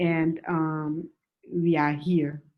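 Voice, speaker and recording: A woman speaks in a Malian accent with a very deep, low pitch and a monotone, flat intonation. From West Africa, Senegal and Mali. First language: Bambara. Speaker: writer and movement coordinator. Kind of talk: panel discussion. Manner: halting, many fillers.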